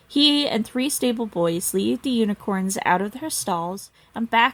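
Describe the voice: With lively intonation, the speaker gives a plain reading aloud.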